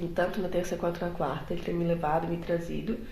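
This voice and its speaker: The recording carries noticeable background noise and audible room echo. Through it, a woman's voice is heard. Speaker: book vlogger and master's student. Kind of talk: casual vlog. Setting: at home in an apartment before dawn. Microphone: poor recording quality.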